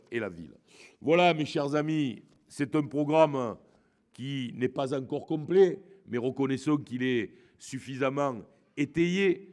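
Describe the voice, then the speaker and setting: Against a quiet background, a man with a Marseille accent speaks at a very slow pace, his fairly high pitch showing ordinary variation. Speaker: politician. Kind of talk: campaign speech. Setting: hall with audience. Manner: hesitant, many fillers.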